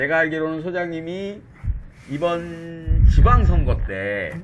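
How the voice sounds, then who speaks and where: A man's fairly high voice with very wide pitch swings over noticeable background noise. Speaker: talk show host. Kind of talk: interview. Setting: studio with camera and pin mic.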